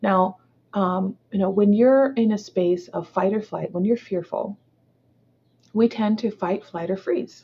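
A somewhat breathy woman's voice, dark and mellow in tone, at a fairly slow pace. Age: 40s. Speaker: entrepreneur and speaker. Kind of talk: interview testimony. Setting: call.

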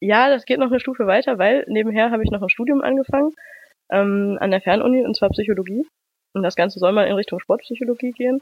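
The woman talks at a very fast pace with a fairly high pitch. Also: ordinary pitch variation. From Germany, Düsseldorf. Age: 20s. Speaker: running blogger. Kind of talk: casual interview. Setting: remote call.

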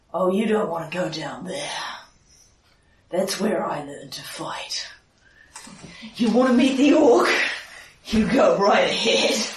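In a growling put-on character voice of fairly high pitch, the speaker goes at a fairly slow pace with long, frequent pauses. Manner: snarling.

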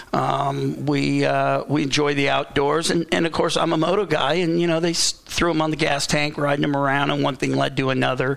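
With an American accent, a man talks at a moderate pace with hardly any pauses over noticeable background noise. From Southern California. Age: 50s. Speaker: former motocross racer, team owner. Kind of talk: casual interview chat. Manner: halting, many fillers.

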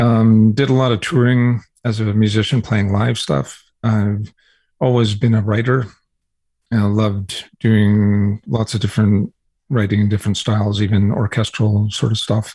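A man speaks at a fairly slow pace and fairly low pitch, somewhat breathy. His intonation is fairly even and his loudness very even. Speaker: music tech entrepreneur. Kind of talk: interview. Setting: remote interview from his office.

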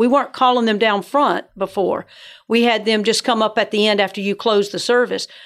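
This very clean recording with a silent background carries a voice with an American accent, fairly even intonation and a moderate pace. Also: woman. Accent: Southern US (Georgia), joked as northern. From Georgia. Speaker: church ministry director. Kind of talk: casual interview. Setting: studio.

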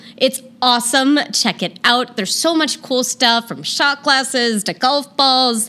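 Her high-pitched voice raised and projected, a woman speaks in a bright, sharp tone at a fairly slow pace with hardly any pauses. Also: ordinary pitch variation. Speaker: podcast host and legal sex worker. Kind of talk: casual chat.

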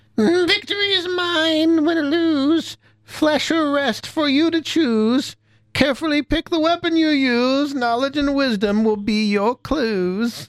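In a put-on character voice, the speaker talks at a fairly slow pace with a shrill, high pitch. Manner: gloating, theatrical.

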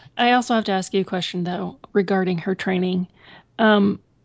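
With an American accent, a woman speaks in an unremarkable speaking voice at medium pitch, using fairly even intonation and a moderate pace. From United States. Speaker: podcast host. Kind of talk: casual chat.

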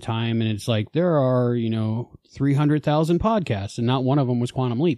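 A man with a slight New Jersey accent, medium pitch, lively intonation and fairly quick pace, over a quiet background. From New Jersey, then Florida. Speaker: podcast creator, fan. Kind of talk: casual interview chat.

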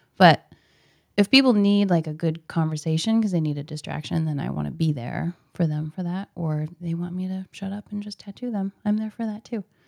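Heard in a dry, close sound with no echo, a woman with an American accent and a plain, everyday voice speaks at a fairly quick pace, her fairly low pitch varying in an ordinary way. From Portland, Oregon (Southeast). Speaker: tattoo artist. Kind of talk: casual interview.

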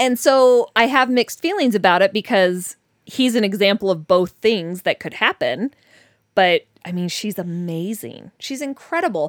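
A normal speaking voice, this woman's sits at medium pitch, with lively intonation at a moderate pace. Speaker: dating podcast host. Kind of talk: casual chat. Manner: laughs often.

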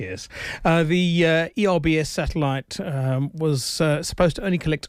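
On a very clean recording with a silent background, a man speaks at a moderate pace and fairly high pitch with ordinary pitch variation. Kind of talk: radio co-host banter: casual, back-and-forth tech news discussion. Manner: measured, conversational, hesitant with frequent 'uh' fillers, affable.

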